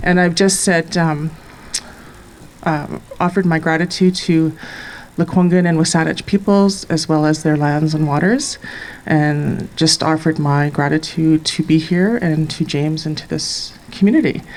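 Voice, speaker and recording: Speech at a moderate pace with fairly even intonation comes over noticeable background noise. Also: woman, very deep, low pitch for a woman. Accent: Canadian. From northwestern Ontario, Canada. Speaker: poet. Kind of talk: public address to outdoor audience. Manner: hesitant, many fillers.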